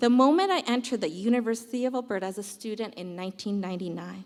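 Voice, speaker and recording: A woman's fairly high voice at a fairly quick pace, with lively intonation. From Canada, Edmonton. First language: Punjabi. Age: 40s. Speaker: university dean of students. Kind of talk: prepared speech.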